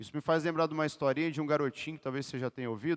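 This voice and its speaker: A man with a fairly high pitch and an animated tone, using ordinary pitch variation, recorded very cleanly and dry and close with no echo against a silent background. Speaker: lay preacher and PE teacher. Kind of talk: sermon.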